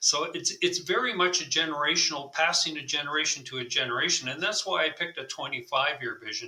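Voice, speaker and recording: This man speaks with a Canadian accent. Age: 70s. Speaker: retired military officer. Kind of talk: interview.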